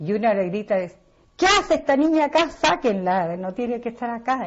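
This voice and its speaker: This woman's voice is somewhat breathy. Her pitch swings very widely. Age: 60s. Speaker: interviewee. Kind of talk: personal testimony.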